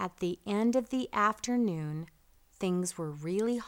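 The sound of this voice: An unforced reading voice carries the whole clip.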